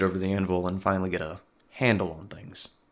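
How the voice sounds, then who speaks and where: This man speaks at a very fast pace. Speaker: blacksmith. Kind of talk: humorous tutorial voice-over. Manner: dry, wry humor.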